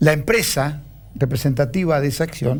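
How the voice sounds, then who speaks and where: A man's somewhat breathy voice, fairly high in pitch, with ordinary pitch variation. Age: 70s. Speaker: stock exchange president. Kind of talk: TV interview.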